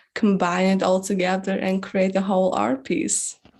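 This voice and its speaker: A woman's medium-pitched voice at a fairly slow pace, very cleanly recorded against a silent background. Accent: non-native. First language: not English. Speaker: singer-songwriter. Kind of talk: interview. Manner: halting, many fillers.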